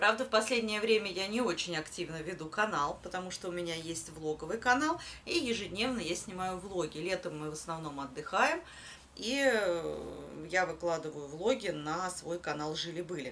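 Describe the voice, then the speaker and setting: This is a woman with a normal speaking voice, pitched fairly low, with lively intonation. She talks at a moderate pace against light background noise. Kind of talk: casual vlog chat. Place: home room. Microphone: phone near.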